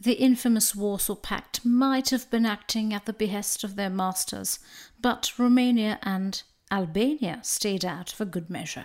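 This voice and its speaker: At a fairly slow pace, a woman uses a normal speaking voice, fairly high in pitch, with ordinary pitch variation. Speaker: podcast host. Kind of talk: history documentary narration. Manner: formal, measured; earnest, solemn.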